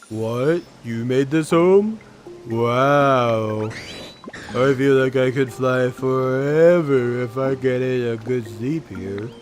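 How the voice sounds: Over clear background music, a man at medium pitch does a put-on character voice at a very slow pace.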